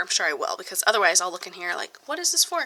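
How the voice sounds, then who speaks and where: Over noticeable background noise, a woman talks at a fairly high pitch with lively intonation. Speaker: budgeting vlogger. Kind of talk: casual vlog tutorial.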